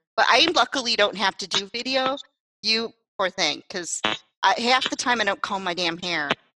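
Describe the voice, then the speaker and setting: A woman's ordinary speaking voice, fairly high in pitch, with lively intonation at a moderate pace and a dry, close sound with no echo. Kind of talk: casual chat.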